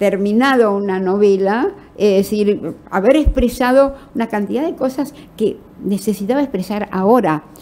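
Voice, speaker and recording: A woman's fairly high voice has a dark, mellow tone, ordinary pitch variation and a moderate pace. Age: 80s+. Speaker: novelist. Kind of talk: interview.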